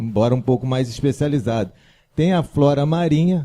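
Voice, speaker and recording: The voice has a dark, mellow tone, lively intonation and a somewhat breathy quality. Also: man. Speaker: religious teacher. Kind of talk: religious lecture. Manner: casual, conversational.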